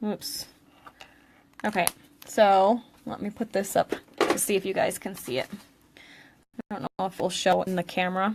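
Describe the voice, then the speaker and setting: A woman in a New England accent, medium pitch, ordinary pitch variation and a moderate pace. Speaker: craft instructor and product seller. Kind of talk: live craft tutorial. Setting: live stream recorded on tablet. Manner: casual, chatty with fillers.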